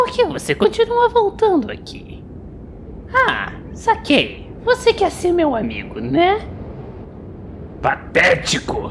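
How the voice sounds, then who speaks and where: An extremely high, put-on character voice talks at a fairly slow pace with long, frequent pauses, over clear background noise. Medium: dub. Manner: scornful, irritated.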